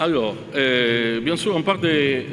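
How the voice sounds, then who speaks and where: Over noticeable background noise, a man talks at a medium pitch with ordinary pitch variation. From Italy. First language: Italian (speaking French). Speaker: visiting academic, linguist panelist. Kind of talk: academic presentation. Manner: halting, many hesitations.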